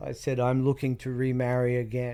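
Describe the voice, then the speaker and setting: In an Australian accent, a man speaks at a moderate pace with a dark, mellow tone. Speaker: private investigator. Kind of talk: interview storytelling.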